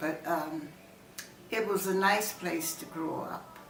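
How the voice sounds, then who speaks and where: Noticeable background noise sits behind a woman with an American accent. She talks at a very slow pace with fairly even intonation. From Southern United States. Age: 80s+. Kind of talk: interview answer.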